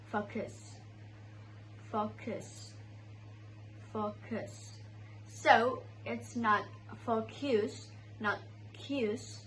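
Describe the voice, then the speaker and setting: A woman with an Indonesian accent speaks very slowly, with long, frequent pauses and audible room echo. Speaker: student. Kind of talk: student presentation on pronunciation.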